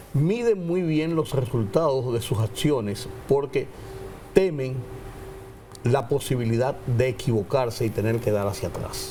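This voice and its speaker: Amid noticeable background noise, a man of medium pitch speaks fairly slowly with lively intonation. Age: 70s. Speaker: political commentator. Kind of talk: panel discussion.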